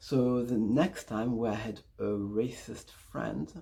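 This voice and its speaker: On a very clean recording with a silent background, a man speaks at a medium pitch in a dark, mellow tone that is somewhat breathy. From Congo. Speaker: vlogger. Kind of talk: story time vlog.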